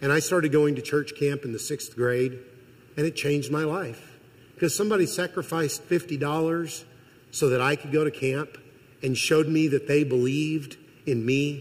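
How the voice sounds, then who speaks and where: A man's somewhat breathy, fairly high voice with a Midwestern American accent, fairly even intonation and a moderate pace. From Missouri. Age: 50s. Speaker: college president and guest preacher. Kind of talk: sermon. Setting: church.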